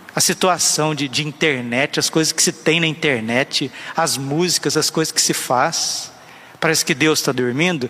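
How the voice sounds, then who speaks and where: Noticeable background noise sits behind a man with a fairly high pitch and fairly even intonation. He keeps a moderate pace and very even loudness. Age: 30s. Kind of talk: sermon.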